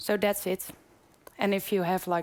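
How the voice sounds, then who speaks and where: Her pitch medium and her pace moderate, a woman is speaking. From Netherlands. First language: Dutch. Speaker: PhD candidate. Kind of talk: conference presentation. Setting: conference room with audience.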